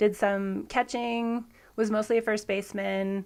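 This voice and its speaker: In a very clean recording with a silent background, a woman speaks with an American accent. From US Pacific Northwest, Washington State. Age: 30s. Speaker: javelin thrower. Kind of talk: podcast interview.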